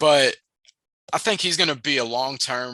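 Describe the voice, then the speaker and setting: Close and dry with no echo over a quiet background, a man speaks at a medium pitch in a bright, sharp tone with fairly even intonation. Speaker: basketball recruiting analyst. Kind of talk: interview.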